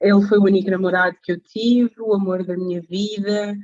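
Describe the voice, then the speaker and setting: Medium pitch from a woman, flat and monotone in intonation, fairly slow in pace. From Portugal (born in Mozambique). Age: 30s. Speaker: support group facilitator. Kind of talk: testimony. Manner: hesitant, many fillers.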